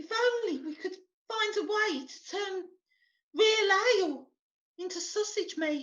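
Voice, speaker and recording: A woman puts on a squeaky character voice with extremely high pitch, speaking at a fairly slow pace with long, frequent pauses. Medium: audio drama. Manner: gushing, endearing.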